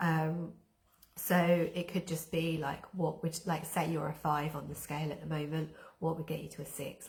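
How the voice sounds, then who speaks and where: Very deep and low in pitch, a woman speaks at a moderate pace with vocal fry. Her intonation is monotone and flat. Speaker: wellbeing therapist and coach. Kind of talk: live-stream coaching talk. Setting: live stream with chat.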